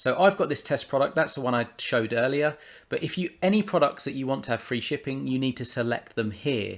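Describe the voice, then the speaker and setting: Speaking with a British accent, a man talks at a fairly quick pace with lively intonation and a medium pitch. The recording is very clean, the background silent. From United Kingdom. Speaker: software tutorial presenter. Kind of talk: screen-recorded tutorial. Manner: casual, with fillers and restarts.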